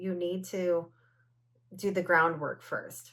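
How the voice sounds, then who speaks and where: The woman speaks at a fairly slow pace with a fairly low pitch and an animated tone. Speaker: wellness podcast host. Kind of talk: solo podcast monologue.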